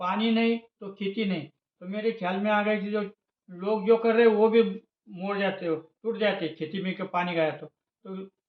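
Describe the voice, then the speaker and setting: The voice moves at a moderate pace with fairly even intonation and big swings in loudness. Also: man, high pitch for a man. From Maharashtra, Aurangabad district. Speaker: farmer. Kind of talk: interview. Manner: halting, many fillers.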